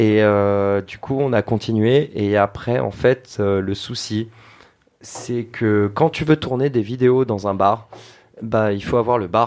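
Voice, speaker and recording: A man's medium-pitched voice at a very slow pace, with long, frequent pauses and ordinary pitch variation. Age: 30s. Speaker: bartender and youtuber. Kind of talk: casual chat.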